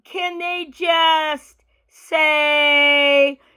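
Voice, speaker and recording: A woman speaks in a high, projected voice with a bright, sharp tone. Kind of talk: casual talk to camera.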